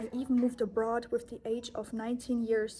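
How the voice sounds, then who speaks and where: A woman with a German accent, fairly high in pitch, dark and mellow in tone, at a moderate pace. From Germany. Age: 20s. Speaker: yoga and self-help vlogger. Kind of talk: personal vlog monologue. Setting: holiday accommodation abroad.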